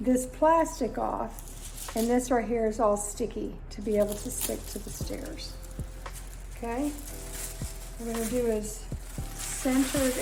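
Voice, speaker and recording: With an American accent, a woman speaks at a fairly slow pace, leaving long, frequent pauses, against noticeable background noise. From Florida, USA. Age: 50s. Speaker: DIY home video creator. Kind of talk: casual DIY tutorial talk to camera.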